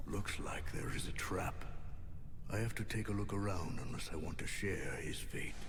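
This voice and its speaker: Over loud background noise, a man uses a put-on character voice at a moderate pace. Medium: game stream. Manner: terse, grim.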